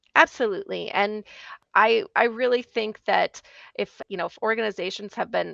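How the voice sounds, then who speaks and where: Against a quiet background, a woman speaks at a moderate pace in a dry, close sound with no echo. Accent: strong Minnesota. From Minnesota. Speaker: IT consultant. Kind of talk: casual chat.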